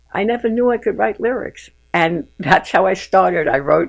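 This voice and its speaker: A woman with a New York accent, lively intonation and vocal fry. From Bronx, New York. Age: 80s+. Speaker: retired teacher and playwright. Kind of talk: interview answer.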